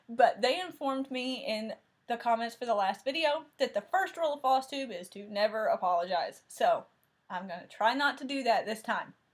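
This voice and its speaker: A woman with a strong Southern US accent, high pitch, lively intonation, big swings in loudness and a moderate pace. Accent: thick Southern US. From Tennessee. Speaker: cross-stitch video host. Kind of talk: casual chat.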